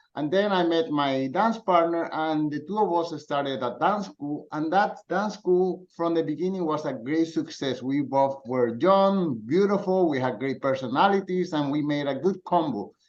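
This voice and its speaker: A man with a Spanish accent, fairly high in pitch, ordinary pitch variation and hardly any pauses. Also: moderate pace. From Colombia. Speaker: dance teacher and frugal living writer. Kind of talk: podcast interview.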